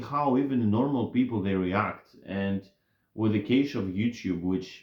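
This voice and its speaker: At a very slow pace, a man with a non-native accent speaks with lively intonation. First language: not English. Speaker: YouTuber commentator. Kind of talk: casual monologue. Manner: halting, many fillers and restarts.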